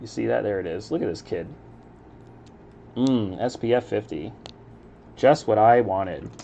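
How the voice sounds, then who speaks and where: A relaxed man with an American accent, a fairly low pitch, vocal fry and a dark, mellow tone, at a moderate pace with ordinary pitch variation and long, frequent pauses. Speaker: Lego building streamer. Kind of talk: casual live-stream commentary while building. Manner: relaxed, chill.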